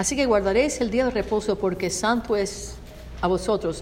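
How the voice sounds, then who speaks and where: The speaker, a woman, has an ordinary speaking voice. It sits fairly high, and its pitch varies in an ordinary way. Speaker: Spanish interpreter. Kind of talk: consecutive interpretation of a sermon.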